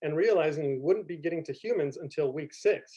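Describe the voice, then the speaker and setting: This man talks at a fairly quick pace in a high voice with a dark, mellow tone and ordinary pitch variation. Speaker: community college history professor. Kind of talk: conference presentation. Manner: fast.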